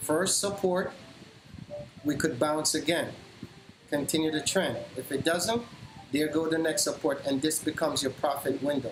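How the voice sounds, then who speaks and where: With noticeable background noise, a man speaks at a moderate pace in a fairly high pitch with ordinary pitch variation and long, frequent pauses. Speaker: stock trader streamer. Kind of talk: live trading tutorial. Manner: loud.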